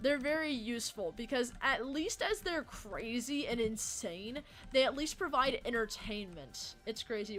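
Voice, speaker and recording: Music plays behind a woman speaking at a high pitch. Her pitch swings very widely. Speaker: livestreamer. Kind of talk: casual chat. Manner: fast.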